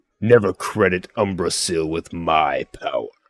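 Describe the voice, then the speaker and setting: A put-on character voice from a man, loud, booming and growling, very deep and low in pitch, at a moderate pace. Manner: commanding, domineering.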